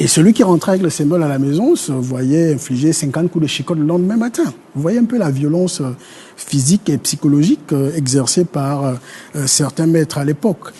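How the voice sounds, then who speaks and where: Pitch varies in an ordinary way at a fairly quick pace. Background noise is noticeable. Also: man, fairly high pitch for a man. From Gabon, north (Fang speaker). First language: Fang (speaking French). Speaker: historian. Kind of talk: TV panel discussion. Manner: halting, many hesitations.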